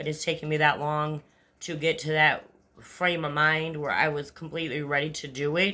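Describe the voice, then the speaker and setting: With an American accent, a woman talks in a very deep, low pitch and a bright, sharp tone. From Upstate New York. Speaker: vlogger. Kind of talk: casual monologue. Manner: fast; rambling, halting.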